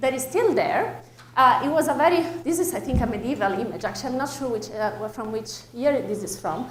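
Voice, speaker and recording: A woman with an Italian accent speaks at a high pitch with very wide pitch swings, amid noticeable background noise and audible room echo. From Italy. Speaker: astrophysics researcher. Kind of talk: public lecture. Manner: hesitant, with fillers.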